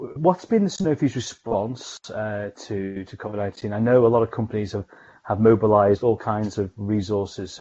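A man speaks at a moderate pace in an unremarkable speaking voice. His pitch is fairly low, with ordinary variation. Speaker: pharmaceutical scientist and podcast host. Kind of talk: interview.

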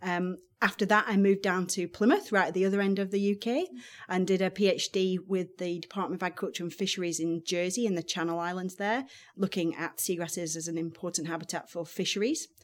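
Talking at a very fast pace, a woman has a Lancashire accent. Her pitch is medium and her intonation fairly even. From northern England, Blackburn, Lancashire. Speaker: marine scientist. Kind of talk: interview. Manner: hesitant, many ums.

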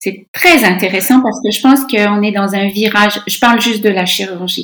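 This woman talks at a medium pitch that varies in an ordinary way. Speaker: surgeon and medical professor. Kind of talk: interview.

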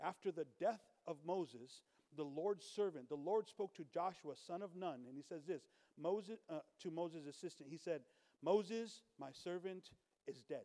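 A man's high-pitched, dark and mellow voice at a moderate pace, with ordinary pitch variation. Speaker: visiting preacher. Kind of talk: sermon. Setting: church with congregation.

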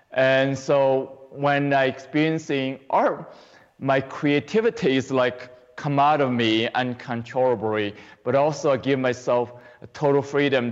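A man's medium-pitched voice with a Chinese accent, fairly slow in pace, fairly even in intonation and very even in loudness. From China. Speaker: qigong teacher. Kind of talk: interview.

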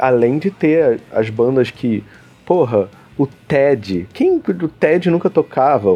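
A man's fairly high voice, dark and mellow in tone, with lively intonation. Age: 20s. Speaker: podcast host. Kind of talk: casual chat.

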